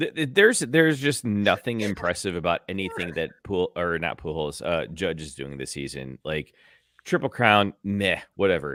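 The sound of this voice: Putting on a character voice, a man sounds hoarse and strained at a very deep, low pitch, with very wide pitch swings and a moderate pace.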